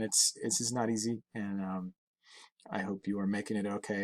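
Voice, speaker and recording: A man's voice with fairly even intonation in a very clean recording, silent in the background, with a dry, close sound and no echo. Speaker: science teacher. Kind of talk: recorded class video talk to students. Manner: fast; casual, many fillers.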